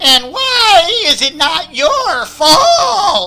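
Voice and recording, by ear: A man shouting in a put-on character voice, extremely high in pitch, with very wide pitch swings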